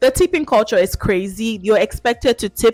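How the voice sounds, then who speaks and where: With music in the background, a woman talks at a moderate pace and fairly high pitch, the sound dry and close with no echo. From Nigeria. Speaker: YouTube vlogger. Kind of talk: casual talk to camera.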